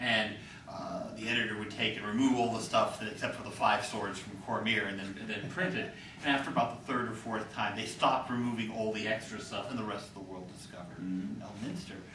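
Very fast speech with ordinary pitch variation, audible room echo and noticeable background noise. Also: man. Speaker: game and fiction writer. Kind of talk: panel discussion. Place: hall. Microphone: camera far.

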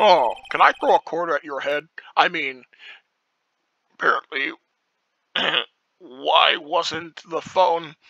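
In a put-on character voice, the speaker goes at a fairly slow pace with long, frequent pauses. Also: man, high pitch for a man.

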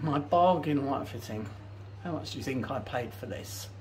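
A moderate pace with light background noise. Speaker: home renovation vlogger. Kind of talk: casual vlog chat. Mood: pleased, enthusiastic. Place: bathroom. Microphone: phone near.

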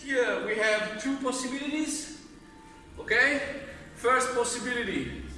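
Speaking at a fairly slow pace, a man uses a raised, projected voice. Audible room echo and faint music sit in the background. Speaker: fitness instructor. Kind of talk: tutorial. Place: gym. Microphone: camera far.

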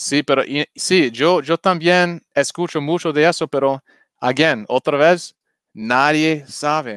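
A man's fairly high voice with an English accent, very slow and very even in loudness, with ordinary pitch variation, a dry, close sound without echo, and a very clean recording over a silent background. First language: English (speaking Spanish). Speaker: crypto YouTuber. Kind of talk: livestream crypto chat. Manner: halting.

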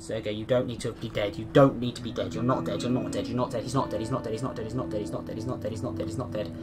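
Over music in the background, a man speaks at a fairly low pitch. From Britain. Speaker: gamer. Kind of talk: casual gameplay commentary.

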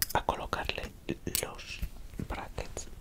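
A man speaks softly at a very slow pace over loud background noise. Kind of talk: ASMR role-play. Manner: soft close ASMR murmur. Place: home room. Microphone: headset.

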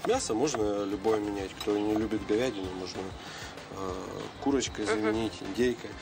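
Over clear background music, a man with a fairly low pitch talks at a fairly quick pace with ordinary pitch variation. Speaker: guest. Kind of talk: interview answer. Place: street.

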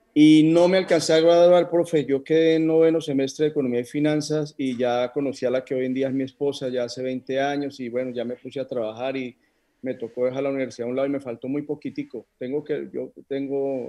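This man has a dark, mellow tone and a fairly high pitch, with fairly even intonation. He talks at a fairly quick pace with hardly any pauses. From Colombia, Neiva (Huila); Colombia. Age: 40s. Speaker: options trader; interview guest. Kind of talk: interview. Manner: halting. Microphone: video call.

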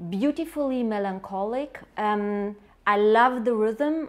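In a German accent, a woman talks at a fairly high pitch with ordinary pitch variation. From Germany. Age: 30s. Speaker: writer and journalist recommending a book. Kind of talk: book recommendation, then reading a poem aloud in German. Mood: warm, enthusiastic. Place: home room. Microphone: lapel.

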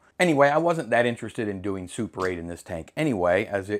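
His pitch makes very wide swings. The voice is a man's. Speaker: film hobbyist host. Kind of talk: casual vlog chat. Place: home room. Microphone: lapel.

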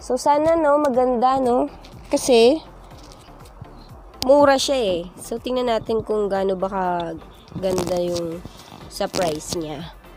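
Faint music plays in the background as a woman speaks at a very slow pace, the sound dry with no echo. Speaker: vlogger. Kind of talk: casual vlog chat, product test. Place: home room. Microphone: lapel.

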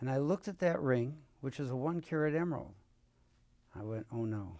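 In a quiet background, a man's voice has a dark, mellow tone. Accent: American. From US Midwest, Cleveland, Ohio; Ohio. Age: 70s. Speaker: surgeon and endoscopist; interviewee. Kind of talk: interview. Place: studio. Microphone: lapel.

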